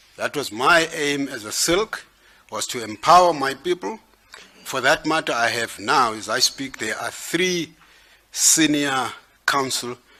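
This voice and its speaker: Noticeable background noise sits behind a man with a fairly high pitch. His intonation is lively and his pace fairly slow. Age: 60s. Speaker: judge candidate being interviewed. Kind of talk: job interview.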